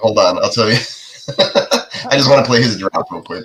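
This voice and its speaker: A man speaks at a moderate pace. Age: 30s. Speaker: fantasy football podcast host. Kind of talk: casual chat. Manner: animated.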